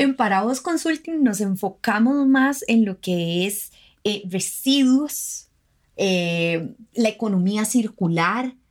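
A fairly high female voice, very slow and with lively intonation, on a very clean recording against a silent background. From Costa Rica, Guanacaste. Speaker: environmental lawyer and consultant. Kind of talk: interview.

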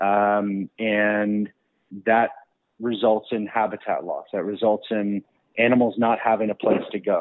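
A man speaks fairly slowly in a monotone, flat intonation. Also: fairly low pitch for a man. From Texas. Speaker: wildlife videographer and photographer. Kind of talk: casual interview. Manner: halting, many fillers and repeats.

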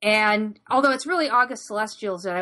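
A woman with an American accent, an ordinary speaking voice, medium pitch, ordinary pitch variation and a moderate pace. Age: 40s. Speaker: gaming podcast co-host. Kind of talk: casual chat.

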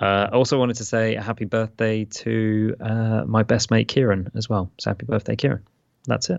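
The speaker is a man with a British accent. His intonation stays fairly even. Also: fairly low pitch for a man, moderate pace. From England. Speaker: podcast co-host and father. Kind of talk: casual chat. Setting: remote call. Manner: self-described poor enunciation.

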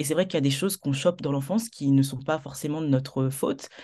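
Her pitch is very deep and low, with a dark, mellow tone and ordinary pitch variation. The woman talks at a fairly quick pace against a quiet background. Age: 20s. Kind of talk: testimony in interview.

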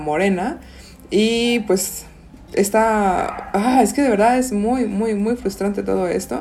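A woman with a normal speaking voice talks with ordinary pitch variation. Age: 20s. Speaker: podcast co-host. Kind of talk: casual chat.

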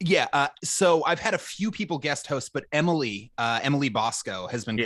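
A man talks fairly quickly with an American accent and lively intonation. He has a normal speaking voice. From Minnesota. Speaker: podcast host. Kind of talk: casual chat.

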